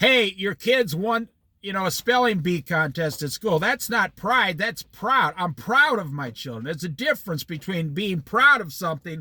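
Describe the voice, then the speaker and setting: A man with an American accent in a raised, projected voice, high in pitch with very wide pitch swings, a bright, sharp tone, a moderate pace, and a dry, close sound with no echo. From Iowa, US Midwest. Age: 60s. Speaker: Bible study teacher. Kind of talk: Bible study talk. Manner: animated.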